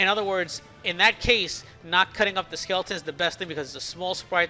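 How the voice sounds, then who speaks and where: Over noticeable background noise, a man talks very fast at a high pitch. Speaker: game developer. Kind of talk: tutorial. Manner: slightly slurred, stuttering; casual.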